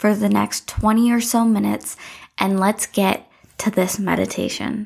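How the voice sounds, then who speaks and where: Speaking at a fairly slow pace, a woman uses a fairly high voice and a calm, soothing tone. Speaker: meditation guide podcast host. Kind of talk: guided meditation. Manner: slow, calm, soothing, with long pauses; gentle, instructive, warm.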